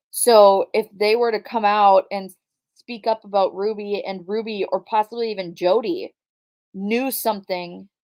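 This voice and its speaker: This woman talks fairly slowly. Her intonation is fairly even. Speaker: true crime YouTuber. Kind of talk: livestream commentary. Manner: casual, chatty.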